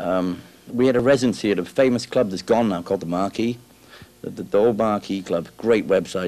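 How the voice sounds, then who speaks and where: Speaking very fast in a Welsh accent, a man shows ordinary pitch variation. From South Wales. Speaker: rock guitarist. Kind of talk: interview. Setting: music store. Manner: halting.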